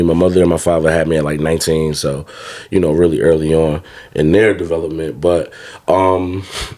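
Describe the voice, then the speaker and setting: A man with an American accent speaks at a fairly quick pace in a very deep, low voice, his intonation fairly even, with noticeable background noise behind him. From North New Jersey (Roselle, near Newark). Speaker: therapist and author. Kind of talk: casual podcast chat. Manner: conversational, many fillers and repetitions.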